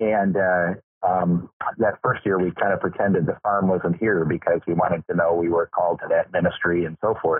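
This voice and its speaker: At a moderate pace, a man with a Midwestern American accent speaks at a very deep, low pitch with very even loudness. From Michigan, US Midwest. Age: 60s. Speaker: farmer and Lutheran pastor. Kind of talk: interview. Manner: halting, many fillers.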